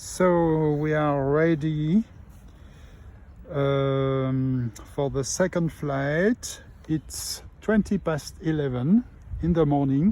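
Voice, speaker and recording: Speech in a French accent comes at a very slow pace, broken by long, frequent pauses. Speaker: RC model pilot. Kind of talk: live commentary. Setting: outdoors. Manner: halting.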